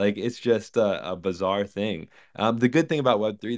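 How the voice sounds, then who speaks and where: With an American accent, the speaker moves at a fairly quick pace and uses ordinary pitch variation. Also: man. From Virginia. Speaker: regenerative farmer. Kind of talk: casual panel chat.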